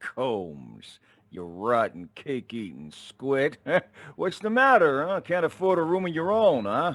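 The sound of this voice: A man's put-on character voice, fairly high in pitch and fairly bright in tone, with big pitch swings at a slow pace.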